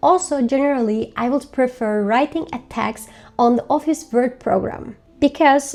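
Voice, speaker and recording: This woman has a high voice with ordinary pitch variation and speaks with a Turkish accent. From Turkey. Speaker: language learning vlogger. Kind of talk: tutorial.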